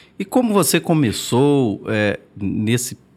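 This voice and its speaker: A man talks at a very slow pace with lively intonation, recorded very cleanly against a silent background. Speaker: podcast co-host. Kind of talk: interview questions.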